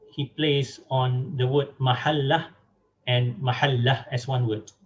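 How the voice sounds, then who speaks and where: Speaking with a Malaysian accent, a man talks at a fairly slow pace in a medium pitch, his voice somewhat breathy. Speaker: academic speaker on translation. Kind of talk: lecture. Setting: online webinar. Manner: halting, many fillers.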